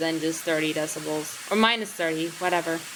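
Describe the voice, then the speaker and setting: Noticeable background noise sits behind a woman speaking with fairly even intonation. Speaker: gaming streamer. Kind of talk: gameplay commentary. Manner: casual, filler-heavy.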